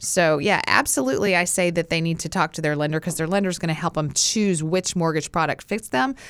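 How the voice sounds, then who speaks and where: A woman with an American accent talks at a fairly quick pace and a fairly low pitch, with hardly any pauses and ordinary pitch variation, in a normal speaking voice. The recording is very clean, with a silent background. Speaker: realtor. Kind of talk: casual chat. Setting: studio.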